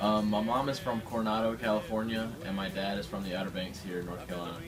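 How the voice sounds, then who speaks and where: Music plays in the background and the room echoes audibly as a man talks very fast with a slight Southern US accent. His pitch is fairly low, with ordinary pitch variation. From Seattle, Washington. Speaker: student. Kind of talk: interview.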